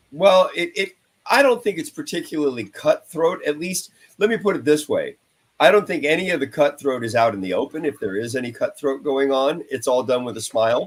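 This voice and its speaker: A man talks at a fairly quick pace in a fairly high pitch. His pitch swings very widely. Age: 60s. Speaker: touring rock guitarist. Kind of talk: casual interview chat.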